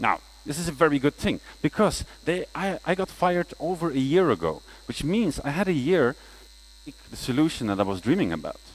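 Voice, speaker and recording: At a fairly quick pace, a man uses a fairly high pitch, lively intonation and vocal fry. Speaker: conference speaker, freelance front-end developer. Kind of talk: conference talk. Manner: fast.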